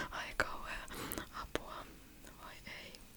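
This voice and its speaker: Noticeable background noise surrounds a woman who whispers. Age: 30s. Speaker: ASMR creator. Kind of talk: casual ASMR chat to camera. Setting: studio, close microphone. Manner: whispered, close-mic.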